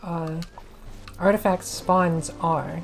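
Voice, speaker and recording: Over noticeable background noise, a woman speaks in a fairly low pitch. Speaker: maid-persona ASMR and gaming content creator. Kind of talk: casual gaming guide talk. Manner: hesitant, rambling, with filler words.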